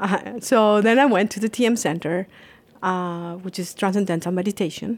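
In a Colombian accent, a woman speaks at a fairly slow pace with a medium pitch. Her pitch variation is ordinary, and the recording is very clean with a silent background. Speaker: Ayurvedic practitioner. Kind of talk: interview. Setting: spa treatment room.

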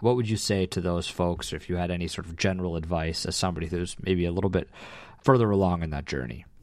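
A very deep, low male voice at a very fast pace, on a very clean recording with a silent background. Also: ordinary pitch variation. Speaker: podcast co-host. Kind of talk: casual conversation.

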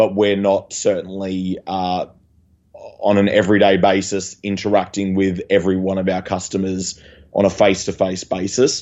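At a moderate pace, a man speaks with a fairly low pitch and monotone, flat intonation. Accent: Australian. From Australia. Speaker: waste industry podcast co-host. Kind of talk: casual chat. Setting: video call. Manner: halting.

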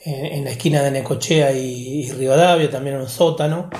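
With a Rioplatense accent, a man speaks at a moderate pace and fairly high pitch, somewhat breathy and fairly even in intonation, with audible room echo. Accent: Argentine Rioplatense Spanish. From Argentina, Olavarría (Buenos Aires province). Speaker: podcast guest, interviewee. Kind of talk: interview, personal reminiscence. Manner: halting, many fillers and repetitions.

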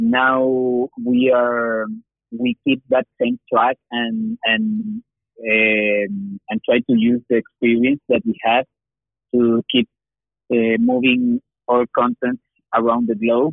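A man with a Spanish accent talks very slowly at a medium pitch, leaving long, frequent pauses. His intonation stays fairly even and his loudness very even. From Chile. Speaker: animation producer. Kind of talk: interview. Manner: halting, many fillers and repetitions.

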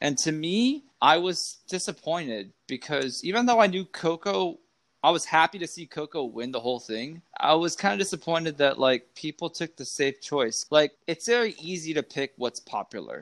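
A man with an American accent has an unremarkable speaking voice, a fairly high pitch and lively intonation, speaking at a moderate pace with hardly any pauses. The recording is very clean with a silent background and a dry, close sound with no echo. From California. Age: 30s. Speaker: podcast guest. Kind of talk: casual chat.

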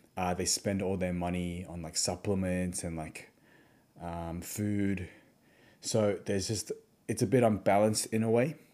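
With an Australian accent, a man speaks at a very deep, low pitch in a dark, mellow tone, with fairly even intonation at a moderate pace on a very clean recording with a silent background. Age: 20s. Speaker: podcast host, physiotherapist. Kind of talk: solo podcast monologue. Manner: casual, filler-heavy.

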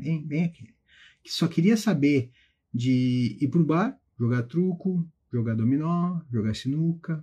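A dark, mellow tone with lively intonation at a fairly slow pace, against a quiet background. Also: man, fairly high pitch for a man. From southern Brazil (Carazinho, Rio Grande do Sul). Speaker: federal prosecutor and exam-prep teacher. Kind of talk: motivational talk to students on a live stream. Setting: Instagram live stream.

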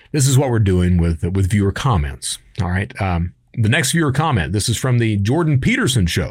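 A man with a Kentucky accent speaks at a fairly quick pace in a fairly low, somewhat breathy voice with very wide pitch swings, on a very clean recording with a silent background. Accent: Kentucky, US South. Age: 50s. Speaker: podcast host, former cybercriminal. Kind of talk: casual talk show reading and answering viewer comments. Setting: studio video recording. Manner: animated, uses put-on voices.

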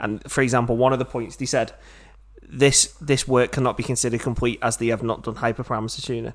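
In a Liverpool accent, a man with a medium pitch and vocal fry talks very fast in an animated tone, recorded very cleanly against a silent background. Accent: Scouse. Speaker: podcast host. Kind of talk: casual chat. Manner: jokey, animated.

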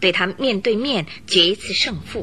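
A woman speaks at a medium pitch with a bright, sharp tone while faint music plays in the background.

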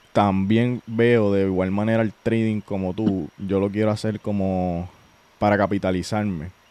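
A man's fairly low-pitched voice, dark and mellow in tone, at a very slow pace. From Puerto Rico, Utuado. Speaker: podcast host, trader. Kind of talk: casual interview chat.

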